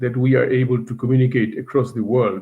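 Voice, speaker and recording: The voice is somewhat breathy. It keeps a moderate pace. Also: man. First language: not English. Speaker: university teacher, webinar speaker. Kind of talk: webinar presentation. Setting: online webinar. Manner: hesitant, with fillers.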